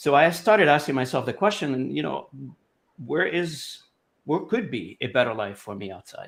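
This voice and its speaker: A man with a fairly high pitch and vocal fry talks at a moderate pace, his pitch swinging very widely and his loudness rising and falling sharply, on a very clean recording with a silent background. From Lebanon. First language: Arabic and French. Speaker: language industry association president. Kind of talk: interview. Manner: halting, many fillers.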